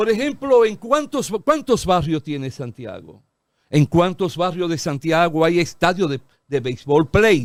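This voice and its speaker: At a fairly slow pace, a man with a high pitch speaks with very wide pitch swings in a very clean recording with a silent background. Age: 70s. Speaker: lawyer and political analyst. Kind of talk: TV talk show interview.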